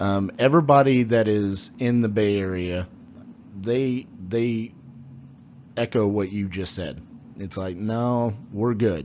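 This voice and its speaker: A man with a Texan accent speaks at a fairly low pitch with ordinary pitch variation. His pace is very slow, with long, frequent pauses. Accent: Texan American English. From Texas, Fort Worth. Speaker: podcast host, real estate. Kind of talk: interview.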